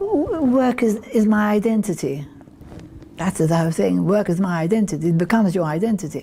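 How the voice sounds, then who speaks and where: Amid noticeable background noise, a woman speaks at a fairly quick pace and medium pitch with lively intonation and very even loudness. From Malta. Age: 80s+. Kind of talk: interview. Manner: halting.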